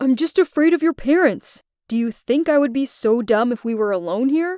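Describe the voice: In a cartoonish character voice, a woman speaks at a moderate pace with a high pitch and lively intonation, the sound dry and close with no echo.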